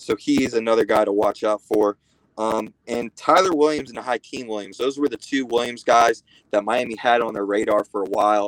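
At a moderate pace, a man talks in a plain, everyday voice. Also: medium pitch for a man, ordinary pitch variation. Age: 30s. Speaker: college football recruiting writer. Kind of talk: casual sports talk interview.

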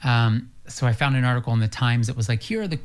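A man's somewhat breathy voice in an American accent, medium in pitch, at a moderate pace with fairly even intonation. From US, rural farm. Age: 30s. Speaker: lifestyle expert and brand builder. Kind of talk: casual chat.

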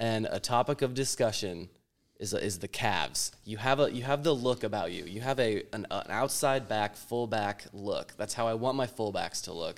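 In a very clean recording with a silent background, a man speaks at medium pitch and moderate pace with ordinary pitch variation, a plain, everyday voice. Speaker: podcast host. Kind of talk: casual chat, interview.

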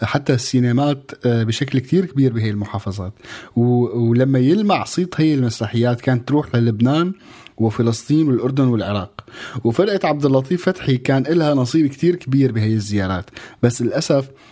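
A man talks at a moderate pace with lively intonation and a dark, mellow tone. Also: medium pitch for a man. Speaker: radio co-host. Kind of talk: casual radio chat.

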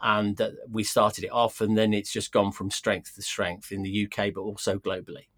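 A man with a British accent, fairly low in pitch, at a moderate pace, with monotone, flat intonation. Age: 60s. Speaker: loudspeaker company owner. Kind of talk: interview. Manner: halting.

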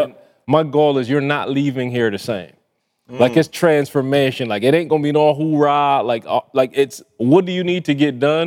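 A man's animated, fairly high-pitched voice at a moderate pace, with ordinary pitch variation. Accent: Barbadian. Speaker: podcast co-host, author promoting his book. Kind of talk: casual, slangy. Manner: animated, emphatic.

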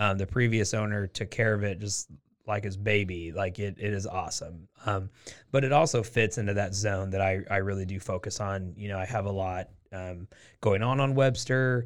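In an American accent, a man with a fairly low voice speaks at a moderate pace in an ordinary speaking voice with ordinary pitch variation, on a very clean recording with a silent background. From Portland, Oregon. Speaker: real estate investor and business owner. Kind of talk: casual interview.

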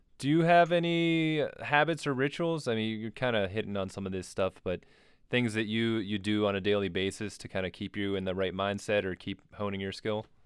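In an ordinary speaking voice, a man with a fairly low pitch talks at a fairly quick pace with lively intonation. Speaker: podcast host. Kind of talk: casual interview chat.

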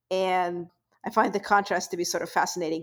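In a very clean recording with a silent background, a woman with a Russian accent speaks with fairly even intonation. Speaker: podcast co-host. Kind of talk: casual chat.

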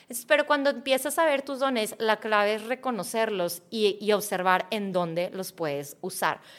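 A woman with a Mexican accent talks at a moderate pace with hardly any pauses. Her fairly high pitch carries lively intonation. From Mexico. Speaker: mindset coach. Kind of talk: interview.

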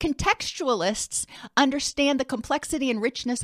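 Loud speech at a moderate pace, with lively intonation. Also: woman. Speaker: clinical educator host. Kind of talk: educational presentation. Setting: webinar video. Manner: animated, loud; excitable.

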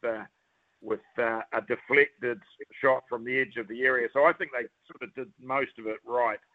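Speaking with a New Zealand accent, a man holds a moderate pace. His pitch is medium. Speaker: football pundit, former footballer. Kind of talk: sports commentary. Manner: animated.

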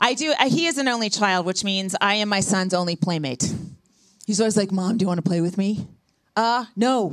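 A normal speaking voice from a woman at medium pitch, fairly quick, with lively intonation. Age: 50s. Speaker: comedian. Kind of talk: stand-up. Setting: stage with audience.

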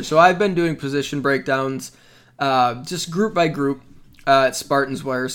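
A man speaks slowly-ish, at a fairly high pitch, in an unremarkable speaking voice with ordinary pitch variation. The recording is very clean with a silent background. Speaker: podcast host. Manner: upbeat, joking.

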